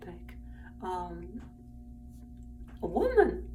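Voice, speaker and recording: A woman is speaking. The clip has audible room echo and noticeable background noise. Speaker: vlogger. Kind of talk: personal vlog monologue. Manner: halting, many fillers.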